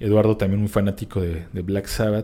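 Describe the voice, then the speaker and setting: Fairly low and dark, mellow in tone, a man's voice moves at a fairly quick pace with fairly even intonation. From Mexico, Querétaro. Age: 30s. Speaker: drummer. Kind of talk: interview conversation.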